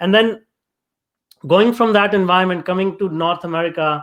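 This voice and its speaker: A man speaks in a high voice with an Indian accent at a fairly quick pace. His pitch varies in an ordinary way, and the background is quiet. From India, small town. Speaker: tech entrepreneur. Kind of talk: interview. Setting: live video show. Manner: hesitant, many fillers.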